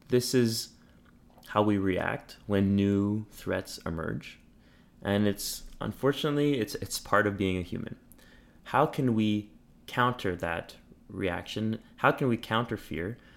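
In a Montreal accent, the speech goes at a fairly slow pace with long, frequent pauses and ordinary pitch variation. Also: man, fairly low pitch for a man. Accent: Montreal anglophone Canadian. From Quebec, Montreal. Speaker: family doctor and public health resident. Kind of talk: interview. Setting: home studio.

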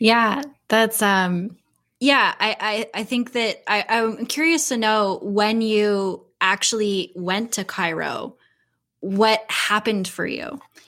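With a bright, sharp tone and ordinary pitch variation, the voice moves at a very slow pace on a very clean recording with a silent background. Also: woman, fairly high pitch for a woman. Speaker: podcast host.

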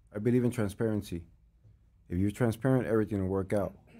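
A man talks very fast in a dark, mellow tone with an American accent. His pitch varies in an ordinary way on a very clean recording with a silent background. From Los Angeles, North Hollywood. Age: 40s. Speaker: music manager. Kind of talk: casual interview chat.

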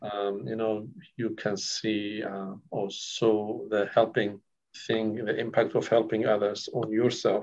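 A man with a Kurdish accent talks at a very slow pace. His fairly low voice stays monotone, with flat intonation. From northern Iraq (Kurdish village near Syria-Turkey border). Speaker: counsellor. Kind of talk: interview. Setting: recorded interview. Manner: halting, many fillers.

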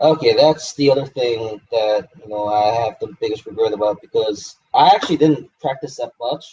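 A man at a moderate pace with hardly any pauses, fairly high pitch, lively intonation, big swings in loudness and a somewhat breathy voice. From Hong Kong. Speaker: game show contestant. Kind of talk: interview.

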